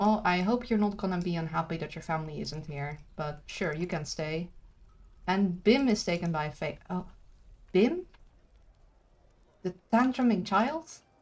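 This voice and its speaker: A woman speaks at medium pitch with ordinary pitch variation, sounding somewhat breathy. Her pace is fairly slow, with long, frequent pauses. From Brazil. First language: Portuguese. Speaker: video game streamer. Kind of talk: live gaming stream commentary. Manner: casual, halting with fillers.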